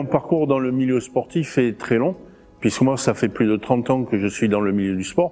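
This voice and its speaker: A man speaks at a medium pitch in a dark, mellow tone. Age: 60s. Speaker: gym manager and martial arts club president. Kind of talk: interview monologue. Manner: hesitant, many filler sounds.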